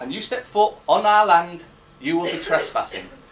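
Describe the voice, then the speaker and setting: A loud man speaking at a fairly quick pace, with audible room echo and noticeable background noise. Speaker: conference speaker. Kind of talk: public talk. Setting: stage with audience. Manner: halting.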